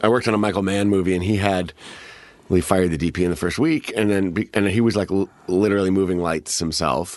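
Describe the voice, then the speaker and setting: With an American accent, a man with a very deep, low pitch speaks at a very fast pace, his loudness very even and his pitch variation ordinary. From Chicago, US Midwest. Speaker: actor. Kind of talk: casual chat. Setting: studio.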